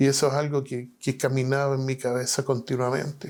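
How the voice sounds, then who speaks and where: Medium in pitch, a man talks at a fairly slow pace. His intonation stays fairly even. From Chile, Valparaíso. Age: 60s. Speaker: pastor and prison chaplain. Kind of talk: testimony. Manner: halting.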